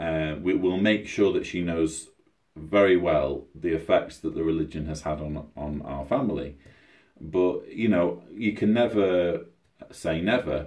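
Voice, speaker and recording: Talking at a fairly slow pace, a man with a British accent has a very deep, low pitch and ordinary pitch variation. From Britain. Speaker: YouTuber, ex-Jehovah's Witness author. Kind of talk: livestream Q&A. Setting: at home, livestream. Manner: halting; quieter than usual.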